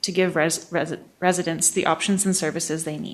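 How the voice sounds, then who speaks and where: A shaky voice at a fairly quick pace, with fairly even intonation. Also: woman. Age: 20s. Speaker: public hearing speaker. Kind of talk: public comment. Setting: council meeting.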